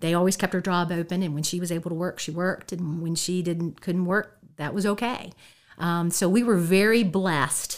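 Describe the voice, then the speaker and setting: A woman with an American accent speaks at a moderate pace. Her pitch is fairly low and her intonation fairly even. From Shenandoah Valley, Virginia (Harrisonburg area). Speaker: guest sharing personal testimony. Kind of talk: testimony. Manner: halting, many fillers.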